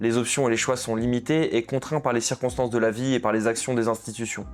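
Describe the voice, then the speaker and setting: A man at a medium pitch, talking at a very fast pace in a monotone, flat intonation. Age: young. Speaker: documentary filmmaker. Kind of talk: documentary narration.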